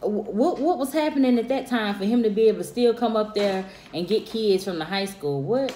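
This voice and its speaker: Fairly quick speech with lively intonation, audible room echo and music in the background. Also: woman, fairly high pitch for a woman. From South Carolina. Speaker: friend of vlogger. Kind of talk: casual chat. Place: home room. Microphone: phone near.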